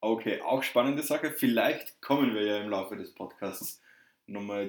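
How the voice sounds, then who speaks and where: A man talks with a slight southern German accent. His pitch is fairly low and his intonation fairly even. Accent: slight southern German coloring. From southern Germany, Würzburg area. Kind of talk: casual chat.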